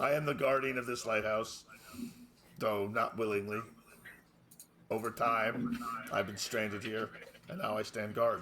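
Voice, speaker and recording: Quiet and raspy, a man does a put-on character voice at a medium pitch and a moderate pace, leaving long, frequent pauses. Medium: actual play. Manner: quiet, calm, formal.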